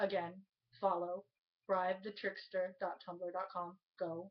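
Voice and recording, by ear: Fairly low for a woman, her voice moves little in pitch as she speaks at a fairly slow pace.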